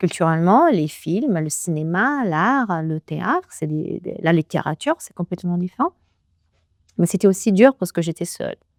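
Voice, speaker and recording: A woman with an Italian accent speaks at a moderate pace and medium pitch with lively intonation and big swings in loudness, in a very clean recording with a silent background and a dry, close sound with no echo. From Italy, Naples. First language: Italian (speaking French). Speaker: business executive. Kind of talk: interview. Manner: halting.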